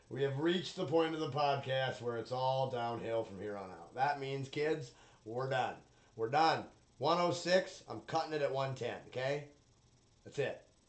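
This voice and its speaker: A man speaks at a medium pitch and a moderate pace. His pitch varies in an ordinary way, with audible room echo. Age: 30s. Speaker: solo podcaster. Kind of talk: casual monologue.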